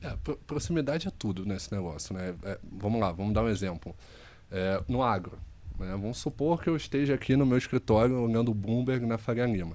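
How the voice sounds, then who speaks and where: In a Carioca accent, a man speaks fairly quickly at a medium pitch, his tone dark and mellow and his intonation lively. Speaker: investment firm executive. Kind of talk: podcast interview.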